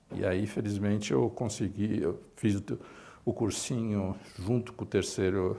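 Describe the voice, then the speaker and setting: On a very clean recording with a silent background, a man talks at a fairly slow pace in a fairly low pitch with ordinary pitch variation. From Brazil, São Paulo east side. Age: 60s. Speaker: medical professor. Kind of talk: life story interview. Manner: halting, many fillers.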